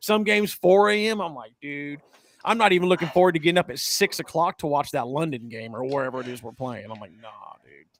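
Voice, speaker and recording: A man with an American accent, very fast, fairly high-pitched, with very wide pitch swings and big swings in loudness. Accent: slight country. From central California (Hanford). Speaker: sports podcast host. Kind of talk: casual chat. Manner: animated.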